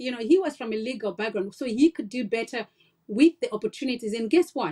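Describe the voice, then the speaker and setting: A woman's lively intonation in a dry, close sound with no echo. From Africa. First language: not English. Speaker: nurse and health-tech founder. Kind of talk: podcast interview, personal story.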